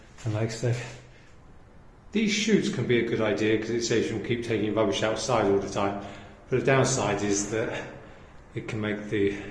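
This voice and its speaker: In a British accent, a man with a fairly low pitch speaks at a moderate pace in a monotone, flat intonation, taking long, frequent pauses amid audible room echo and noticeable background noise. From Britain. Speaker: vlogger. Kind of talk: casual vlog talk. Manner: hesitant, many fillers.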